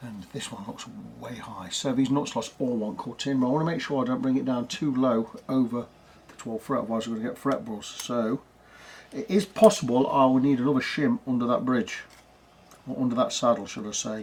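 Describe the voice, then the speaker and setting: There is noticeable background noise as a man talks at a fairly quick pace, with big swings in loudness. His pitch is medium, with ordinary variation. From England. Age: 60s. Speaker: guitar repair technician. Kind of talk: casual chat; workshop tutorial.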